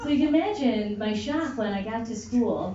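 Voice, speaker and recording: A woman with an American accent speaks in a fairly high voice at a moderate pace with ordinary pitch variation, with noticeable background noise and audible room echo. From USA. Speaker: comedian. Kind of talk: stand-up. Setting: stage with audience.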